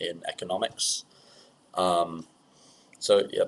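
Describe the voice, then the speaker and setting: A man talks with a British accent. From England. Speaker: student conference director. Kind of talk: webinar presentation. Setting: webinar, online. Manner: hesitant, many fillers.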